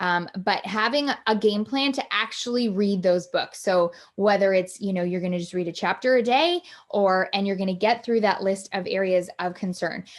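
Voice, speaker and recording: This woman has a normal speaking voice at medium pitch. She keeps a moderate pace and ordinary pitch variation. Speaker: life coach hosting a live online workshop. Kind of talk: live online workshop talk. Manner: many fillers and restarts.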